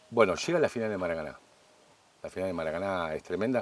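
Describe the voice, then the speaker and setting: A man with a Rioplatense accent talks at a fairly quick pace in a very deep, low voice. His pitch varies in an ordinary way, and the sound is dry with no echo. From Argentina. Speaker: cooking show host. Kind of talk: casual chat; cooking demonstration. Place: garden.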